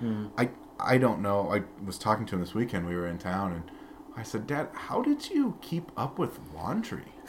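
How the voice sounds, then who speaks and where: A man talks at a moderate pace in a fairly low pitch. His intonation is lively. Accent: American. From US Midwest, Peoria, Illinois. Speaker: former minister, pastor's son. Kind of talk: casual interview conversation.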